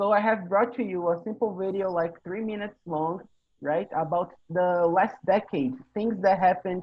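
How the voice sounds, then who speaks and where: Here a man talks in a high pitch with a Portuguese accent. The intonation is fairly even. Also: moderate pace. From Brazil. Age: 20s. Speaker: English teacher hosting a conversation meeting. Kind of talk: casual online group conversation.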